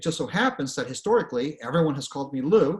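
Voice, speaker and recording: A somewhat breathy man with lively intonation. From Venezuela. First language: Spanish. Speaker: author and career speaker. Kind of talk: presentation. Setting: online presentation with screen share. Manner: conversational, frequent fillers.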